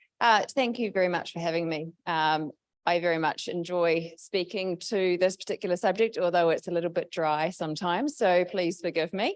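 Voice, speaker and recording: At a moderate pace, a woman with a New Zealand accent speaks in a medium pitch with ordinary variation, in a very clean recording with a silent background. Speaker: public debt management advisor. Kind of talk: presentation.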